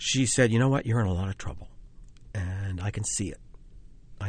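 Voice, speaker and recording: A man with an American accent speaks at a fairly low pitch, showing ordinary pitch variation. His voice is somewhat breathy. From US Northeast (Philadelphia suburbs). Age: 50s. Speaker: playwright and film director. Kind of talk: interview.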